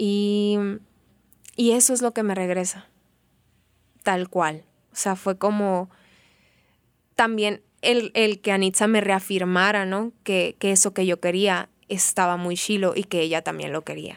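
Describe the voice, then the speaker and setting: A medium-pitched woman talks at a fairly slow pace, leaving long, frequent pauses and keeping her intonation fairly even. The sound is dry and close with no echo, on a very clean recording with a silent background. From Mexico, Sonora (Benjamin Hill). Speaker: theatre performer. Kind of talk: interview storytelling.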